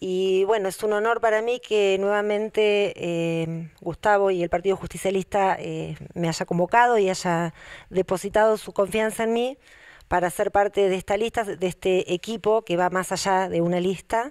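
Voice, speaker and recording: A woman at medium pitch and a moderate pace, with fairly even intonation and a quiet background. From Argentina, Buenos Aires Province. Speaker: local politician and teacher; local politician, teacher. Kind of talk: campaign statement. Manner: frequent filler hesitations. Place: hall. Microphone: handheld.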